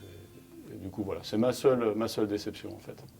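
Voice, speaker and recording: With music in the background, a man talks at a fairly quick pace in a fairly low pitch. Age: 50s. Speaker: geologist and union member. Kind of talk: interview. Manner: halting, repeats words.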